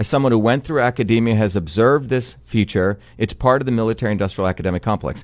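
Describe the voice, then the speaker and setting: A man talks at a very fast pace with hardly any pauses. His pitch shows ordinary variation. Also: medium pitch for a man, very even loudness. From New Jersey (born in India). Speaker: political candidate and engineer. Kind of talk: radio interview. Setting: radio studio.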